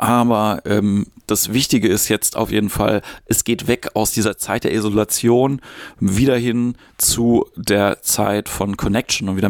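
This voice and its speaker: An unremarkable speaking voice from a man, fairly low in pitch, at a moderate pace with fairly even intonation, dry and close with no echo, on a very clean recording with a silent background. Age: 40s. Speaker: podcast host, improv actor and comedian. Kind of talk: solo podcast monologue on mindfulness. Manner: casual, with filler sounds.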